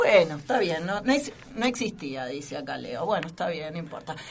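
The speaker is a woman. Noticeable background noise sits behind her. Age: 30s. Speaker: radio host. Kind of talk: casual chat.

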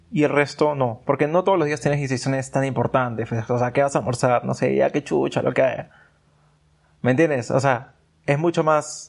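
Against a quiet background, a man with an ordinary speaking voice talks at a moderate pace, fairly high in pitch with ordinary pitch variation. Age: 20s. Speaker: podcast guest. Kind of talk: casual chat.

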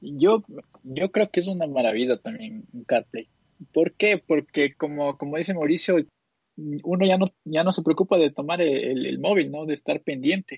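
A man with an unremarkable speaking voice talks at a moderate pace with ordinary pitch variation. The sound is dry and close, with no echo. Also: fairly high pitch for a man. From Quito, Ecuador. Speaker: podcast co-host. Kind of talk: casual chat.

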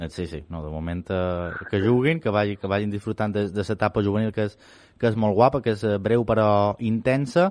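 With a Mallorcan accent, the man talks at a moderate pace. His pitch is fairly low, with ordinary variation. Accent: Mallorcan Catalan. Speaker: sports radio host. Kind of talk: radio interview.

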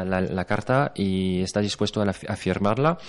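Against a quiet background, a man's fairly low voice shows ordinary pitch variation. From France. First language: French (speaking Spanish). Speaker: actor. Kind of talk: interview. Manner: halting.

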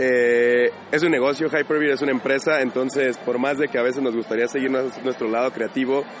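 Monotone, flat speech from a man at medium pitch, fairly quick, over noticeable background noise. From Michoacán, Mexico (Chilchota). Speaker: video game studio founder. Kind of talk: interview.

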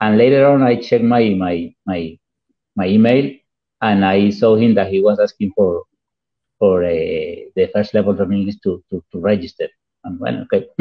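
Here a man talks with a Spanish accent. His pitch variation is ordinary and his pace moderate. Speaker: English teacher, radio co-host. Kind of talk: casual educational chat. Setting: on a cell phone connection. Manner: halting, many repetitions.

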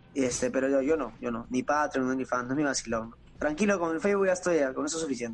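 This man talks very fast, and his pitch varies in an ordinary way. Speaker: gamer and streamer. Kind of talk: casual interview. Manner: casual, halting with repetitions.

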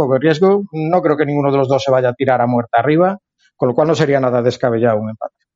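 A man with a Galician accent, fairly high in pitch, with ordinary pitch variation. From Galicia, Spain. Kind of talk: casual chat.

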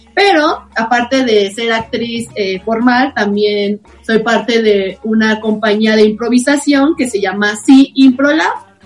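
At a very slow pace with hardly any pauses, a woman talks at a fairly high pitch with ordinary pitch variation over noticeable background noise. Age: 30s. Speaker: actress. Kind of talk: improv comedy; casual chat.

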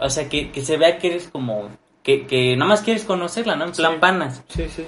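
With a Mexican accent, a man speaks somewhat breathy. His intonation is lively and his pace moderate. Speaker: podcast co-host. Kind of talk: casual chat.

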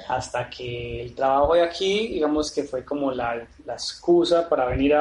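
A man with a plain, everyday voice, fairly high in pitch, ordinary in pitch variation and fairly slow in pace. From Medellín, Colombia. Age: 30s. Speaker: painter and sculptor, former architect. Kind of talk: interview. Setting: artist's studio.

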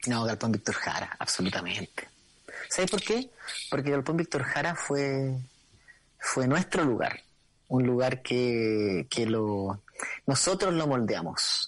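Speaking at a very slow pace with long, frequent pauses, a man of medium pitch keeps his intonation lively and his loudness very even. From Chile, Santiago (La Pintana). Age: 40s. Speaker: musician. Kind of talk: casual chat.

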